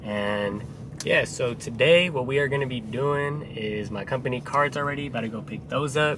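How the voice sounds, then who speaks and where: With audible room echo and noticeable background noise, a man speaks with ordinary pitch variation. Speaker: HVAC business owner vlogger. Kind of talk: casual vlog.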